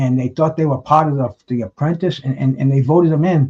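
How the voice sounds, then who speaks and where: A man's voice sits at a fairly high pitch. It is somewhat breathy, with a dark, mellow tone. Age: 70s. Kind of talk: casual chat. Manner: animated, emphatic.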